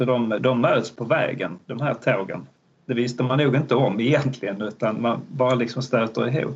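A man talks at a moderate pace with a medium pitch and ordinary pitch variation. His voice is somewhat breathy. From Malmö, Skåne, southern Sweden. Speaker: history professor. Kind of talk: interview. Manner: hesitant, many fillers.

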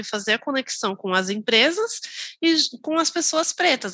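A woman's bright, sharp-toned voice with lively intonation. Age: 30s. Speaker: front-end developer. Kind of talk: casual chat.

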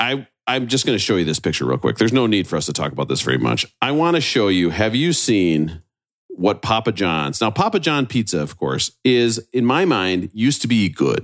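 A man with a fairly low pitch and vocal fry talks at a moderate pace with very wide pitch swings and hardly any pauses, recorded very cleanly against a silent background. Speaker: podcast host. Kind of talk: casual chat. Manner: animated.

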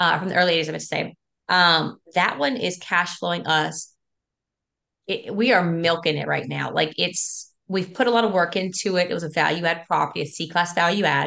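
An American woman with a fairly low pitch and vocal fry speaks in a bright, sharp tone at a fairly quick pace. Her pitch varies in an ordinary way against a quiet background. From South Louisiana. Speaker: school teacher and real estate investor. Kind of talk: interview. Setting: video call.

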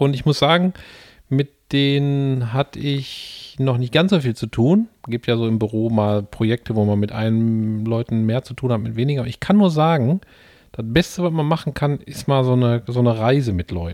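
A man with an ordinary speaking voice talks at a moderate pace and medium pitch with ordinary pitch variation, in a dry, close sound with no echo on a very clean recording with a silent background. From Ruhr area, Gelsenkirchen. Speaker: podcast co-host. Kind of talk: casual chat. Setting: home living room, portable podcast setup.

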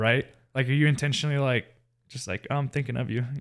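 On a very clean recording with a silent background, a man with an American accent talks at a very fast pace. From US South, Marietta, Georgia. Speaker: church youth leader. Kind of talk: casual chat, personal testimony.

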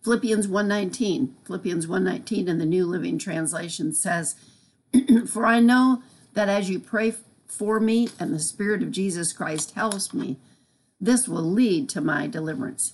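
In an unremarkable speaking voice, a woman talks at a fairly slow pace with lively intonation and a medium pitch. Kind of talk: devotional teaching.

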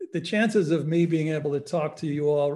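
Fairly high in pitch for a man, this unremarkable speaking voice shows ordinary pitch variation. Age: 60s. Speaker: psychologist and meditation teacher. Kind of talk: lecture. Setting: online webinar.

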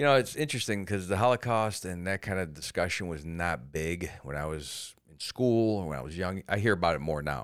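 A man with a very deep, low voice and an American accent talks at a fairly quick pace, with hardly any pauses. His intonation is lively, his loudness swings widely, and the recording is very clean with a silent background. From Cleveland, Ohio. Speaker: comedian. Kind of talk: casual chat. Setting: studio.

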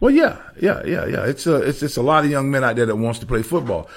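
A man with a Southern US accent speaks in a fairly high pitch with lively intonation, on a very clean recording with a silent background. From US South, Savannah, Georgia. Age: 50s. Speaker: former pro football player. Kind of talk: casual interview.

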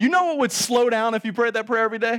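A high-pitched man speaks in an animated tone. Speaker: pastor. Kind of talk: sermon. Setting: church. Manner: animated, self-deprecating humor; fervent, urgent, rising, pleading preacher cadence.

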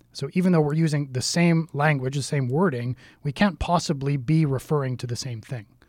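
A man with an unremarkable speaking voice talks fairly quickly, his pitch shifting in a typical way, on a very clean recording with no sound behind him. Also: fairly high pitch for a man. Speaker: deacon and podcast host. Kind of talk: casual religious discussion.

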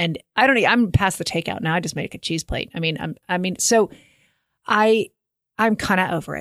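With an American accent, the speaker uses an animated tone, ordinary pitch variation and a fairly quick pace broken by long, frequent pauses. The sound is dry and close, with no echo. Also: woman, medium pitch for a woman. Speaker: podcast co-host. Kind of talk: casual chat.

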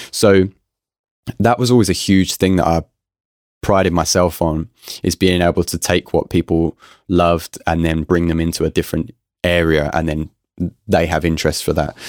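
Over a very clean recording with a silent background and a dry, close sound with no echo, a man speaks with a very deep, low pitch and fairly even intonation, leaving long, frequent pauses. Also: moderate pace. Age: 20s. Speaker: musician and music producer. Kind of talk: casual interview.

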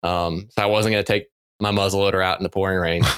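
A man with an American accent and a fairly low, bright, sharp voice, on a very clean recording with a silent background. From western North Carolina. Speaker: wildlife researcher. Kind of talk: interview.

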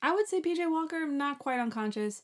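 At a moderate pace, a woman with a normal speaking voice talks with lively intonation. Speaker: podcast co-host. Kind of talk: casual chat.

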